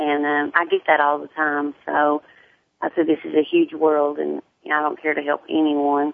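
Speaking at a moderate pace, a woman has a strong Southern US accent. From US South, Tennessee. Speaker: hairstylist and sickle cell advocate. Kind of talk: casual radio interview.

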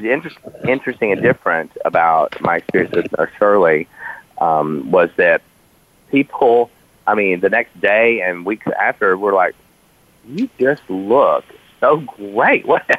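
A man talks at a fairly slow pace, the sound dry and close with no echo. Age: 40s. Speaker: fashion industry figure. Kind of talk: casual chat.

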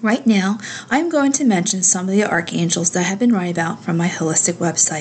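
A woman with an ordinary speaking voice talks at a fairly quick pace in a medium pitch, her intonation lively. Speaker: spiritual radio host. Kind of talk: talk show with guided meditation. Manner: calm, soothing.

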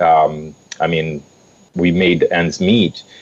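A man's very deep, low voice at a very slow pace, with noticeable background noise. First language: not English. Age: 30s. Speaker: youth program facilitator. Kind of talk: radio interview.

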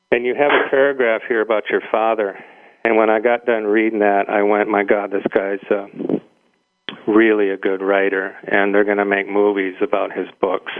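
A man's fairly low, monotone voice with flat intonation, very even loudness and a Midwestern accent. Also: moderate pace. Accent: midwestern American. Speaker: radio talk show guest host. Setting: radio studio.

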